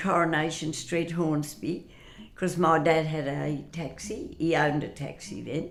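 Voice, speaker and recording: A woman with a fairly low pitch speaks at a fairly slow pace while music plays in the background. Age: 80s+. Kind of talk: interview answer.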